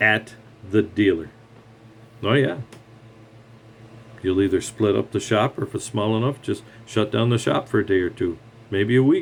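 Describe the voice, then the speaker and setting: A man talks at a moderate pace in a somewhat breathy voice with a fairly low pitch and ordinary pitch variation. He leaves long, frequent pauses. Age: 60s. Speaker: retired mechanic. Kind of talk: rant monologue. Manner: animated.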